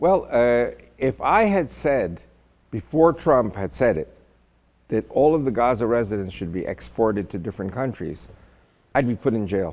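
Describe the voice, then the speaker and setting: Vocal fry marks this man's medium-pitched voice, which makes very wide pitch swings. He keeps a moderate pace broken by long, frequent pauses. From Israel. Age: 70s. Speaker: Israeli commentator. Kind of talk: interview. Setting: podcast.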